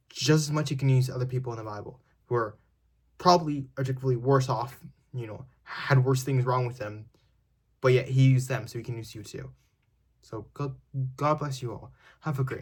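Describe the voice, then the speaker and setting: Somewhat breathy and medium in pitch, a man speaks with long, frequent pauses and big swings in loudness. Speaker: online preacher. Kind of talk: short sermon. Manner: halting.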